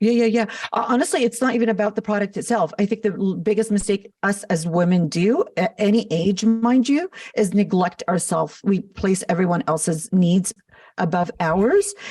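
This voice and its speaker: In an American accent, a woman speaks with a dark, mellow tone, a somewhat breathy quality, medium pitch, ordinary pitch variation, very even loudness and a moderate pace. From Los Angeles, US. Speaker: makeup artist and business founder. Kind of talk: podcast interview.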